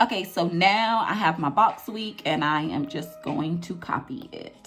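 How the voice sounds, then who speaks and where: Over noticeable background noise, a woman speaks at a fairly slow pace with medium pitch, lively intonation and big swings in loudness. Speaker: planner YouTuber. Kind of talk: screen tutorial. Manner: casual, chatty.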